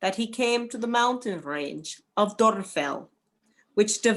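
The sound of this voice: Lively intonation runs through this unforced reading voice. Behind it, the background is quiet.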